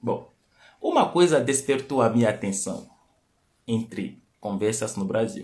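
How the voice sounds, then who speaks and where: A man's medium-pitched, fairly slow delivery with long, frequent pauses and ordinary pitch variation. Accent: non-native. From Benin. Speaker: lecturer on culture and language. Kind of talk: live stream talk. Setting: live stream.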